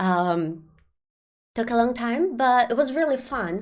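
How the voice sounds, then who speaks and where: A woman with a non-native accent and a fairly high pitch. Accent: non-native accent, remarked by self. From Brazil. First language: Portuguese. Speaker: game streamer. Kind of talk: live stream talk to chat. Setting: live stream. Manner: hesitant, many fillers.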